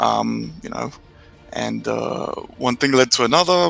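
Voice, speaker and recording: There is noticeable background noise as a man talks. He has an English accent and a fairly slow pace. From England (Romanian-born, moved at seven). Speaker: concept artist. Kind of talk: casual interview. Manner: halting, many fillers.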